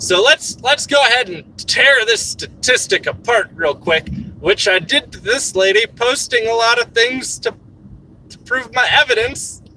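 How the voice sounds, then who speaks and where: Using an extremely high voice, a man speaks at a fairly slow pace with lively intonation and big swings in loudness. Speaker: streamer. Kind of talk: livestream commentary. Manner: animated.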